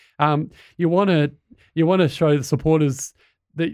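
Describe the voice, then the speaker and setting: Speaking with an Australian accent, a man moves at a fairly quick pace, his pitch fairly high and his intonation fairly even. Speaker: podcast host. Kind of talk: casual interview.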